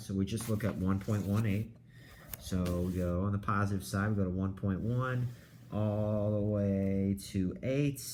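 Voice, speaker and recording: Over audible room echo, a man talks at a fairly low pitch in a somewhat breathy voice with ordinary pitch variation. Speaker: high school math teacher. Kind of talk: lecture. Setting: recorded video lesson.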